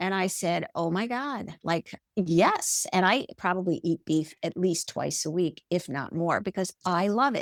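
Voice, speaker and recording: Her voice is a plain, everyday voice, medium in pitch, as the woman speaks at a fairly slow pace with ordinary pitch variation in a dry, close sound with no echo. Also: hardly any pauses. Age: 60s. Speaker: podcast guest, health coaching client. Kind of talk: casual interview chat. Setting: podcast interview.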